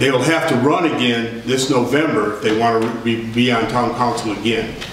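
Amid light background noise and audible room echo, a man talks at a fairly slow pace. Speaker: town council member. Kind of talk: meeting remarks. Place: hall. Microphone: camera far.

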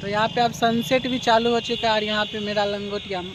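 A man with a high pitch talks at a fairly quick pace with little pitch movement, recorded dry and close with no echo over clear background noise.

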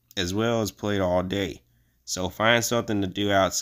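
Text read aloud, plainly

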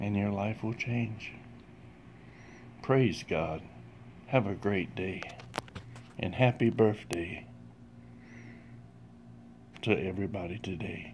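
With light background noise behind him, a man speaks very slowly in a somewhat breathy, fairly low voice with ordinary pitch variation and long, frequent pauses. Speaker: religious vlogger. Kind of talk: short sermon-like vlog message. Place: home room. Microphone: phone near.

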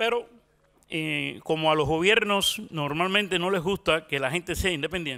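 A man with a Cuban accent speaks in a high pitch with a bright, sharp tone. His pace is moderate, his pitch variation ordinary, and the background quiet. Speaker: journalist. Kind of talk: conference talk. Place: stage. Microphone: handheld.

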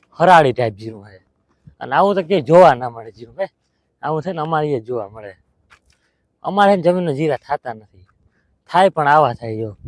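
Lively intonation and big swings in loudness come through a dry, close sound with no echo. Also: man. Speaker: village vlogger and farmer. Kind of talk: casual vlog.

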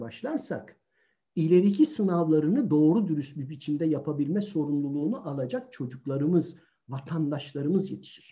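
A quiet background and a man's moderate-paced speech. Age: 60s. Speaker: author and sociologist. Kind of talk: online talk on child self-confidence. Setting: video call live stream. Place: home room. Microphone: video call.

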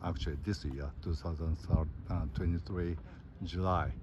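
Ordinary pitch variation in a dry, echo-free recording with noticeable background noise. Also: man. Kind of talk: casual vlog chat. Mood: elated after long passage. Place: waterside. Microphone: phone near.

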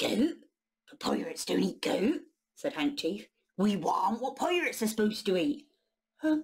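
An unforced reading voice with lively intonation over a quiet background

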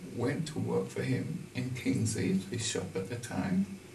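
The man speaks at a very slow pace. The room echo is audible, and there is light background noise. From Caribbean, St. Kitts. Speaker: retired tailor. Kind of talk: oral history interview. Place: shop.

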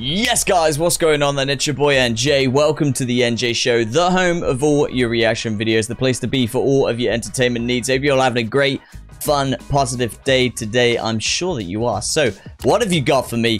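Moderate-paced speech from a man with ordinary pitch variation and faint music in the background. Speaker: reaction show host. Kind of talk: casual reaction commentary. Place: home room. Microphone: studio mic.

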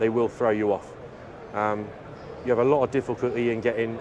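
A man speaks against noticeable background noise. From Cornwall, England. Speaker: racing driver and army veteran. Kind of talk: interview. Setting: motorsport trade show. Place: hall.

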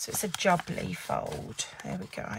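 Loud background noise sits behind a woman speaking. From England. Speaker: papercraft demonstrator. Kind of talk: live craft tutorial. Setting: Facebook live stream at desk. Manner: casual chatty. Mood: chatty, lightly amused. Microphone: phone near.

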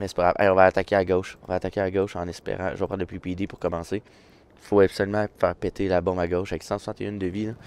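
A dry, close recording with no echo, fairly quick delivery in a Quebec accent. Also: man. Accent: Québécois French. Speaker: gaming YouTuber. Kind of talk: live gameplay commentary. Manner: animated.

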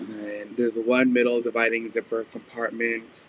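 At a moderate pace, a man speaks at a medium pitch with a fairly bright tone and little pitch movement.

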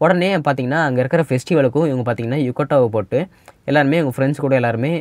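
Here a man has an unremarkable speaking voice at medium pitch. His pitch variation is ordinary. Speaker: anime story narrator. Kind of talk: casual anime episode recap to viewers.

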